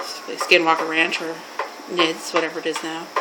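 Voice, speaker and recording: In a room with audible echo and noticeable background noise, a woman with a Canadian accent speaks at a fairly low pitch. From Canada. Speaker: mental health worker. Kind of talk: personal story telling. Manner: informal, halting.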